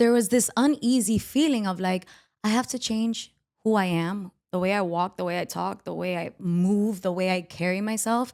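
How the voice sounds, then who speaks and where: In a Miami accent, a woman speaks with ordinary pitch variation. The recording is very clean, with a silent background. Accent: Hialeah. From Miami, Hialeah. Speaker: podcast host. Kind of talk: casual chat.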